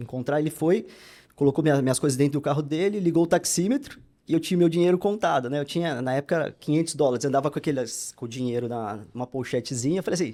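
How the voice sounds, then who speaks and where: In a very clean recording with a silent background, a man with a dark, mellow tone and fairly high pitch talks at a very fast pace with ordinary pitch variation. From Brazil, São Paulo. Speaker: pastor. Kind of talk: interview testimony.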